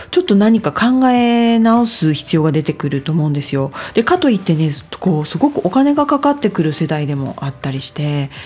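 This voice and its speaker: A woman talks at a fairly quick pace, her pitch swinging very widely, over noticeable background noise. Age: 40s. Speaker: podcast host, life design coach. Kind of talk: solo talk / self-help monologue. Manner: polite, filler-heavy conversational.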